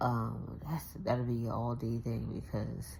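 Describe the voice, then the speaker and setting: Quiet and marked by vocal fry, a woman speaks at a very deep, low pitch. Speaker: vlogger. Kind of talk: casual vlog. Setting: at home. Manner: quiet, talking low.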